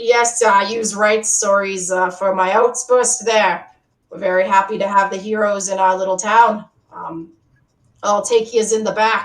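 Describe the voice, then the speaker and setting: Using a raspy, put-on character voice at a medium pitch, a woman speaks at a moderate pace with fairly even intonation. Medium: actual play. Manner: rough, ungrammatical speech.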